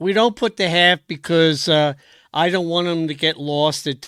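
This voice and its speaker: Recorded very cleanly against a silent background, a man with a bright, sharp tone and fairly high pitch speaks at a moderate pace with fairly even intonation. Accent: American. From Philadelphia. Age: 70s. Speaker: race organizer and show host. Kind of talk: casual interview. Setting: livestream.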